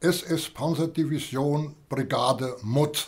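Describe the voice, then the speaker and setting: A somewhat breathy voice at a very slow pace, with fairly even intonation. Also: man. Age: 90s. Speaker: war veteran. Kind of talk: interview. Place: home room.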